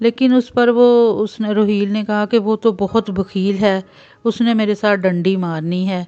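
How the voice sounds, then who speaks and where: A woman has a plain, everyday voice at a medium pitch, with fairly even intonation. The sound is dry and close with no echo, over a quiet background. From Pakistan. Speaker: voice-over artist and story writer. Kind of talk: read moral story narration.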